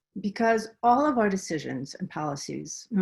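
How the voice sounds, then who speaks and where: A woman with a Minnesotan accent speaks at a moderate pace with very wide pitch swings. Her voice is somewhat breathy. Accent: Minnesota. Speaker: researcher presenting a webinar. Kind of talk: webinar presentation. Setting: video call from home.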